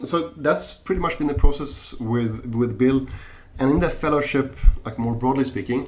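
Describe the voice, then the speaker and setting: Audible room echo carries a man's medium-pitched voice, which has a non-native accent and ordinary pitch variation. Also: moderate pace. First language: not English. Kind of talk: podcast interview. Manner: halting, many repetitions and fillers.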